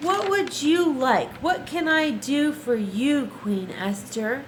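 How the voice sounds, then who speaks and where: A woman speaks very slowly in a put-on character voice over clear background noise. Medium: read story.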